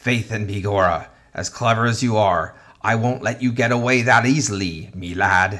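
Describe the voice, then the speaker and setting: A man does a growling put-on character voice in an Irish accent, at medium pitch with ordinary pitch variation and a moderate pace. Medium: read story. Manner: blustering.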